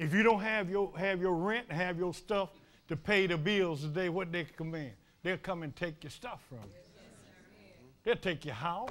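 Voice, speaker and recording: A man talks with an animated tone and a high pitch. His loudness swings widely while his pitch variation stays ordinary. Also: moderate pace. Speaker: preacher. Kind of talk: fervent sermon with call-and-response. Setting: church. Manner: animated, impassioned, with frequent laughter. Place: church.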